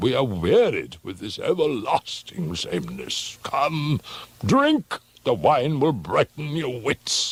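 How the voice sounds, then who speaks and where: Recorded in a dry, close sound with no echo, a man does a put-on character voice at a fairly high pitch and a fairly slow pace. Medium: read story. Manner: boisterous, bullying.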